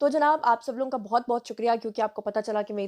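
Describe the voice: Fast and fairly high-pitched, a woman speaks in a slightly mellow tone with ordinary pitch variation.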